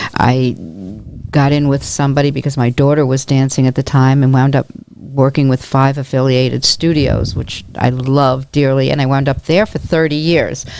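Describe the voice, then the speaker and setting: A woman with a New York accent and a very deep, low voice, moderate pace, monotone, flat intonation and very even loudness. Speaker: real estate agent and dance company volunteer. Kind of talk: podcast interview.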